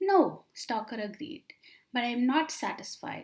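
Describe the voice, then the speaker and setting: A woman's high-pitched voice with very wide pitch swings. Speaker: audiobook narrator. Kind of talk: read story. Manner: soft-spoken, unhurried.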